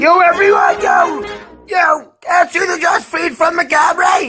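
Shouting at a fairly slow pace with music in the background. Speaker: comedy dubber. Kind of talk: comedy voiceover dub of cartoon clips. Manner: crude, profane, brash.

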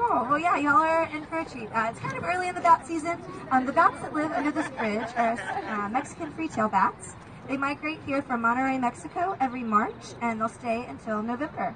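Crowd noise runs behind a woman speaking fairly quickly at a high pitch. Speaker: boat tour guide. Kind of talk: tour guide commentary. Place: boat.

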